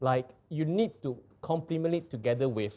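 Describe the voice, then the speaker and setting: With a Singaporean accent, a man speaks in a dark, mellow tone at a fairly high pitch. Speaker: live show host presenting art and antiques. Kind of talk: casual conversational explanation.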